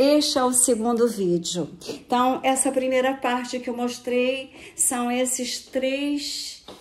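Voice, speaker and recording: Noticeable background noise sits behind a woman speaking at a very slow pace. Her pitch is high, and she hardly pauses at all. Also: ordinary pitch variation. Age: 70s. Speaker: retired dentist and real estate agent. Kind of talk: personal video statement.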